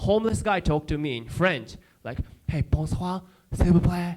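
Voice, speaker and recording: With a strong Japanese accent, a man speaks in an animated tone at a high pitch. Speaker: comedian. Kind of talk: stand-up. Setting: stage with audience.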